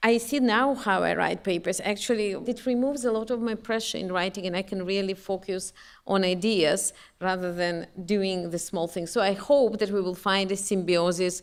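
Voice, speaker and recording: This woman has a non-native accent. Her voice sits at a medium pitch. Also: ordinary pitch variation, moderate pace. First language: not English. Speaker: professor. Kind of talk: panel discussion. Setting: stage with audience.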